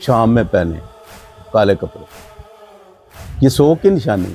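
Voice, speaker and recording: A man with a medium-pitched voice talks while music plays behind him. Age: 70s. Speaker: elder of a mourning procession family. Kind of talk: interview storytelling.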